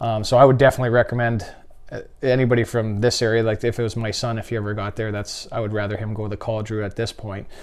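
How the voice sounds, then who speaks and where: Against a quiet background, a man with a Canadian accent speaks very fast at a medium pitch in a monotone, flat intonation. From Saskatchewan, Canada. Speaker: retired professional hockey player. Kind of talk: interview.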